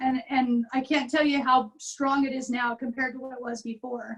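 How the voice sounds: A woman speaks at a moderate pace in a raspy, high voice with little pitch movement.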